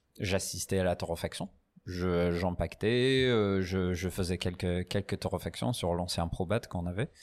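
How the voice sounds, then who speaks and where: Speaking at a fairly slow pace, a man with a very deep, low pitch keeps his loudness very even and his pitch variation ordinary. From northern England, Newcastle. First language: English (speaking French). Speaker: coffee roaster and barista. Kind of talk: casual interview. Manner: halting, many fillers and repetitions.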